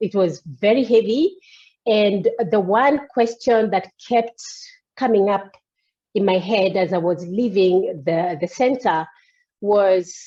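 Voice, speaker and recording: A woman's dark, mellow voice at a medium pitch, very slow, with ordinary pitch variation and long, frequent pauses. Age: 50s. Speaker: coachee in a coaching demo. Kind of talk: coaching session.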